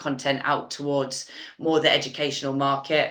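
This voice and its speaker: With a British accent, a woman speaks in a bright, sharp tone at a very deep, low pitch. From UK. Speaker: learning consultant. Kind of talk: webinar panel discussion.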